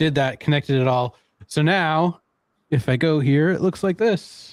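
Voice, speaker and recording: An unremarkable speaking voice moves at a moderate pace with ordinary pitch variation and very even loudness. The recording is very clean and dry, close with no echo, over a silent background. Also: man, fairly high pitch for a man. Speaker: software trainer. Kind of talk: casual chat. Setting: livestream.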